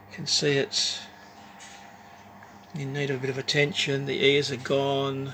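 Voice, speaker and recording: A man with an Australian accent speaks at fairly high pitch in a monotone, flat intonation, leaving long, frequent pauses. Noticeable background noise and audible room echo are in the recording. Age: 60s. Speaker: woodcarving hobbyist. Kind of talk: casual show-and-tell video. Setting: home workshop. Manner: halting, with fillers.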